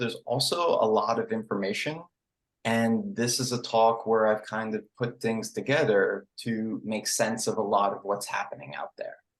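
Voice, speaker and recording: This man speaks with a slight New York accent. His pace is moderate. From New York City. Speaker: psychedelic integration coach. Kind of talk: online presentation. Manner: casual, filler-heavy.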